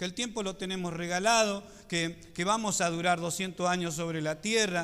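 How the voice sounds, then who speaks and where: At a moderate pace, a man speaks in a high pitch with a bright, sharp tone. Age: 50s. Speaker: pastor. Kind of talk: sermon.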